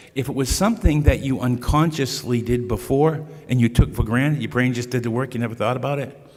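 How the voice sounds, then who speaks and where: A man speaks with a Boston accent at a medium pitch. His pace is fairly quick and his pitch varies in an ordinary way. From US Northeast, Boston area. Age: 60s. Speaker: speaker on Huntington's disease care. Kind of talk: lecture. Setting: stage with audience at podium. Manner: casual, conversational.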